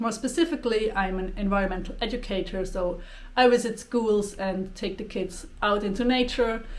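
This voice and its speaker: A woman with a Swiss German accent speaks at a moderate pace with ordinary pitch variation, and the room echo is audible. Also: fairly high pitch for a woman. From Switzerland. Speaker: spiritual YouTuber. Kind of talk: casual vlog introduction.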